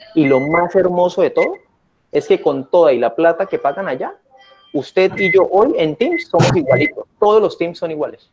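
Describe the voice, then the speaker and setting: Someone with a Colombian accent speaks at a moderate pace over noticeable background noise. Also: man. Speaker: workshop host, teacher trainer. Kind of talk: online workshop tutorial. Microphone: webcam.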